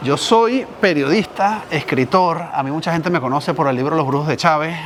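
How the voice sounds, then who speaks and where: A man with a strong Venezuelan accent speaks at a moderate pace over noticeable background noise. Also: fairly high pitch for a man, ordinary pitch variation. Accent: Venezuelan, strong despite 20 years in Spain. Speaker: journalist and writer. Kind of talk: casual chat.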